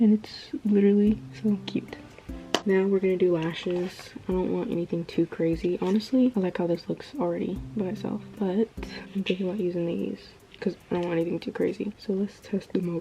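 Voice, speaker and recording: A woman of medium pitch talks at a fairly quick pace with fairly even intonation against noticeable background noise. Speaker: beauty vlogger. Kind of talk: makeup tutorial chat.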